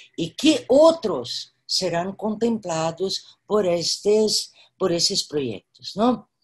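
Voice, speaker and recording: Speaking very slowly in a Brazilian accent, a woman sounds somewhat breathy and uses very wide pitch swings. The background is quiet. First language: Portuguese (speaking Spanish). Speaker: artist and professor; professor. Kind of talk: virtual panel conversation. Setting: video call. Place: home room. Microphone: video call.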